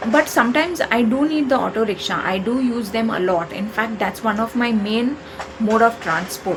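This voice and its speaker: With an Indian accent, this speaker talks at a moderate pace with lively intonation over noticeable background noise. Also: woman. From India, Maharashtra (Konkan). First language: Konkani. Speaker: YouTuber. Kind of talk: opinion monologue.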